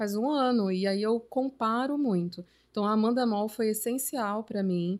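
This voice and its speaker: An unremarkable speaking voice, this woman talks at a moderate pace with fairly high pitch, ordinary pitch variation and very even loudness, on a very clean recording with a silent background. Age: 30s. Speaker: journalist and artist. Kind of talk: casual chat.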